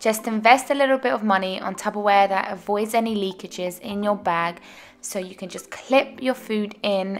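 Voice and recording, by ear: Faint music plays in the background as a woman speaks at medium pitch and a moderate pace. Her intonation is fairly even, with few pauses.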